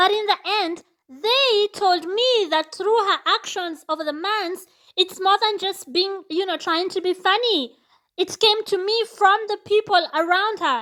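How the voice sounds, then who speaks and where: Raised and projected, a woman's extremely high voice has a bright, sharp tone, ordinary pitch variation and a fairly slow pace. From Kenya. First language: not English. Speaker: vlogger. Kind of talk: casual monologue.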